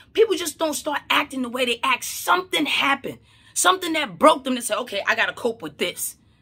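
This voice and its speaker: A woman with a high pitch and a bright, sharp tone speaks in an animated, raised, projected voice at a fairly quick pace, with very wide pitch swings and big swings in loudness. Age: 30s. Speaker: mental health counselor and vlogger; vlogger. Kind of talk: casual vlog monologue. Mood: opinionated, incredulous. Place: home room. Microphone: phone near.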